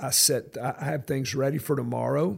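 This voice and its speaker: A man's medium-pitched voice with vocal fry, a fairly slow pace and ordinary pitch variation. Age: 60s. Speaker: pastor. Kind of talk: podcast interview.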